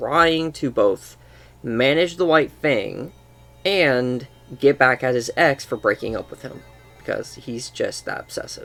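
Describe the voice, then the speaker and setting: The delivery is fairly slow in pace. Behind it, music plays in the background. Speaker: gaming commentator. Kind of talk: casual talk over gameplay. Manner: stuttering.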